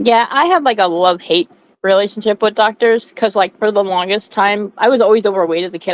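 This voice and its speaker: A woman's ordinary speaking voice at medium pitch, fairly quick in pace, with ordinary pitch variation and a dry, close sound with no echo. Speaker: co-host. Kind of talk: casual chat.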